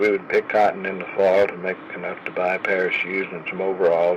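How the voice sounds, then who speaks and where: Moving at a moderate pace, a man's voice comes through noticeable background noise. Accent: Southern US. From Oklahoma. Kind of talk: personal memoir storytelling.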